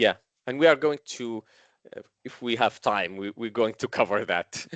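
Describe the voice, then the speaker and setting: A man talks at a moderate pace and medium pitch with ordinary pitch variation. The sound is dry and close with no echo, and his loudness swings widely. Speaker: vendor solutions engineer presenting. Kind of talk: technical webinar presentation. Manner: hesitant, many fillers.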